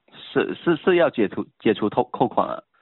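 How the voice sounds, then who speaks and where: This man talks with lively intonation. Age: 20s. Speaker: phone scammer. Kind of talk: phone scam call. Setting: phone call. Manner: halting.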